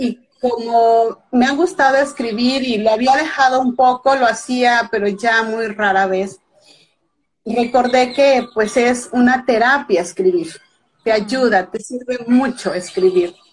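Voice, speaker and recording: Her voice is high-pitched and very slow. The woman's pitch varies in an ordinary way. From Veracruz, Mexico. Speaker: author. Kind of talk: casual chat. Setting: Instagram live video.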